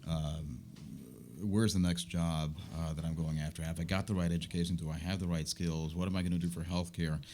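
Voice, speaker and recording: A man with a very deep, low voice and a dark, mellow tone speaks at a fairly quick pace. His intonation stays flat and monotone. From US, Puerto Rican family. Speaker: business owner and media commentator. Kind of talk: interview conversation.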